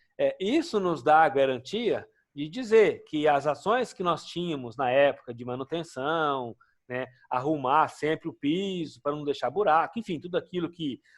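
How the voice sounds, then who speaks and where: In a very clean recording with a silent background, a man with an unremarkable speaking voice and fairly high pitch talks at a moderate pace. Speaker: occupational safety instructor. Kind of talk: lecture.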